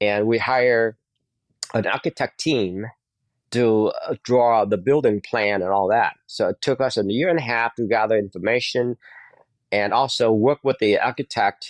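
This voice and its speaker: A man with a Vietnamese accent speaks at a moderate pace and medium pitch, with ordinary pitch variation and very even loudness. The sound is dry and close with no echo over a quiet background. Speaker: dentist. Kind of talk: interview. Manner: halting.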